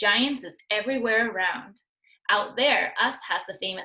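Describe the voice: The delivery is plain reading aloud with ordinary pitch variation over a quiet background.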